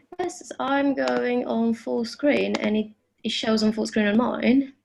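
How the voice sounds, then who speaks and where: Speaking at a very slow pace, a woman talks with a British accent. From United Kingdom. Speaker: privacy and security enthusiast speaker. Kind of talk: presentation over video call. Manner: hesitant, many fillers.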